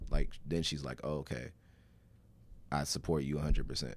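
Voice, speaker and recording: Here a man speaks with a very deep, low pitch and vocal fry. His pitch varies in an ordinary way. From Alabama, Birmingham. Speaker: rapper. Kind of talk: casual chat. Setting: studio.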